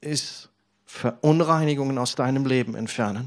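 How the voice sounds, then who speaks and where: A man's warm tone at medium pitch, with ordinary pitch variation. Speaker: preacher. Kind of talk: sermon. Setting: church service with congregation, New Year's Eve. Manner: earnest, persuasive preacher's delivery addressing the congregation directly; warm, encouraging, storytelling with personal anecdotes.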